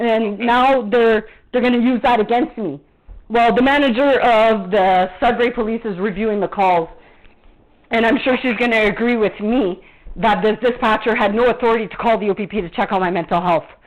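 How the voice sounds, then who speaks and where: A woman speaks in an animated tone at a fairly high pitch. Her pace is fairly quick, with ordinary pitch variation. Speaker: vlogger. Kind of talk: angry rant. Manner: loud.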